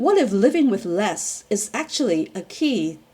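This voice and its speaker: Very slow woman's speech over noticeable background noise. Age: 60s. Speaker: PhD student. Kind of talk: personal reflection talk to camera.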